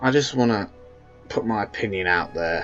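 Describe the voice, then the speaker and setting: Music in the background behind a man's fairly low voice, moderate in pace, with fairly even intonation. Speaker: fan video reviewer. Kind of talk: casual talk to camera. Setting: low-quality home microphone. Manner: rambling, hesitant.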